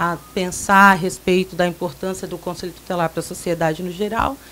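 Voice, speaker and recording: A woman's medium-pitched voice, an ordinary speaking voice, at a moderate pace. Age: 20s. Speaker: council candidate. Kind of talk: radio interview.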